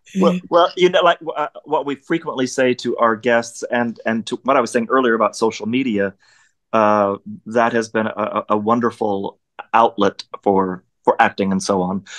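A man speaks with an American accent at a moderate pace. His pitch varies in an ordinary way against a quiet background. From Oklahoma. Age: 50s. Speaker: actor. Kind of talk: casual interview. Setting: video call. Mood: warm, emotional, personal. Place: home room. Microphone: video call.

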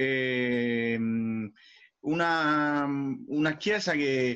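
With a quiet background, a man talks at a medium pitch with ordinary pitch variation. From Rome, Italy; Italy. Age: 30s. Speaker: missionary priest. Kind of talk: interview. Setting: call from abroad. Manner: halting, many repetitions. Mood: calm, explanatory. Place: home room. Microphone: video call.

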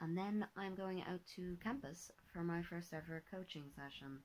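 A woman talks at a moderate pace with an Irish accent. Her pitch varies in an ordinary way. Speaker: vlogger and artist. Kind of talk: casual vlog talk. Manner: hesitant, many fillers.

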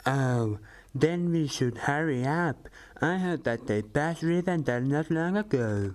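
A put-on character voice sits at a low-to-middle pitch. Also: fairly slow pace. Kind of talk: comic overacting. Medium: machinima. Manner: blunt, irreverent, crude.

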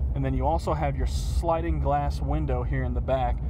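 Over noticeable background noise, a man with a very deep, low pitch speaks at a fairly quick pace in a monotone, flat intonation, the sound dry with no echo. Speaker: car salesperson. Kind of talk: product walkthrough commentary. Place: car.

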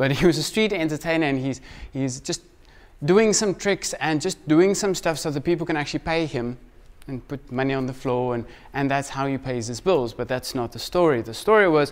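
Here a man talks at a fairly quick pace. His pitch varies in an ordinary way. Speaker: preacher. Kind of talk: sermon. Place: church.

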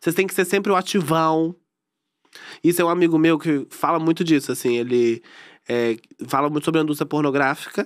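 Against a quiet background, the speaker moves at a fairly quick pace with ordinary pitch variation and long, frequent pauses. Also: man, fairly high pitch for a man. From Brazil. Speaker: reality TV ex-contestant; podcast guest. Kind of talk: casual chat. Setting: studio. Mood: relaxed, chatty. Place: studio. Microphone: studio mic.

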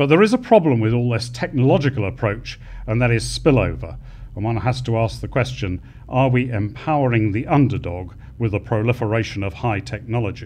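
A man with a British accent and vocal fry, talking at a fairly quick pace with ordinary pitch variation over light background noise. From United Kingdom. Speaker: retired air force officer; conference speaker. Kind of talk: conference closing speech. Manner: formal. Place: hall. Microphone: podium.

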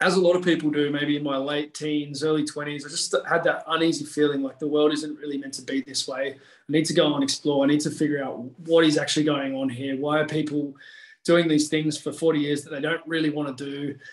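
Against a quiet background, a man talks at a very fast pace. His intonation is monotone and flat, and room echo is audible. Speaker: podcast guest, strength coach. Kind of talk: interview answer. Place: home room. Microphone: video call.

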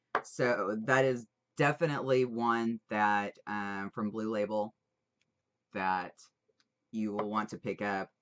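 Long, frequent pauses break up speech delivered at a very slow pace. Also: woman, very deep, low pitch for a woman, ordinary pitch variation. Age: 21 or older. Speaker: vaping product reviewer. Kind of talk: casual product review. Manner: animated. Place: home room. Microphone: webcam.

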